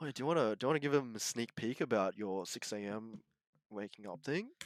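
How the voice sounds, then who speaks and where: A man with an Australian accent speaks at a fairly quick pace, his medium-pitched voice full of lively intonation. The very clean recording is dry and close with no echo and a silent background. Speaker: university student. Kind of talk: casual chat.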